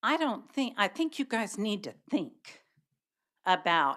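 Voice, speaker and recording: Very wide pitch swings mark a woman's fairly high voice, bright and sharp in tone, in a very clean recording with a silent background. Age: 70s. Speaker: public commenter at county meeting. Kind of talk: public comment speech. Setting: county commission meeting. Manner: animated.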